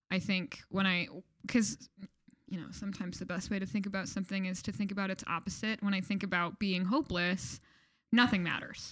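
A woman with a plain, everyday voice and an American accent talks fairly quickly at medium pitch, her intonation fairly even. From Michigan, US. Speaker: campus ministry worker. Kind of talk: casual interview chat.

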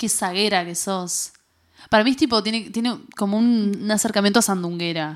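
A woman speaks at a medium pitch with ordinary pitch variation on a very clean recording against a silent background. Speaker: podcast co-host. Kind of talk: casual chat. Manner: fast.

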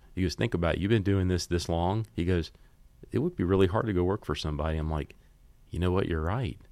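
Very fast and very deep, a man with an American accent speaks with ordinary pitch variation in a very clean recording with a silent background. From US South, Mississippi Gulf Coast (Biloxi). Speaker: business owner, fundraising consultant. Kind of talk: casual interview chat.

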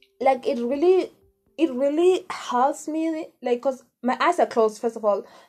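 A woman talks with ordinary pitch variation as music plays in the background. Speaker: podcast host. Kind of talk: casual monologue. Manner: rambling, halting.

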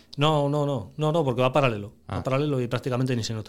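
His intonation stays fairly level. This man speaks very fast. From Asturias, Spain (Piloña). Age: 40s. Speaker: family business manager. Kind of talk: casual interview.

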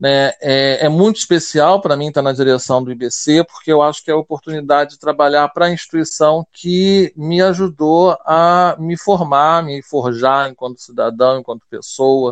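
A man with an ordinary speaking voice talks at a fairly slow pace and a fairly high pitch, with fairly even intonation and a dry, close sound with no echo. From Rio de Janeiro, Brazil. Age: 40s. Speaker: school director and linguist. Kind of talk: interview. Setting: remote call via app from home.

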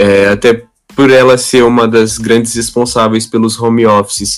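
Over music in the background, a man talks at a moderate pace with medium pitch and fairly even intonation. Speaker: IT systems worker. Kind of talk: interview.

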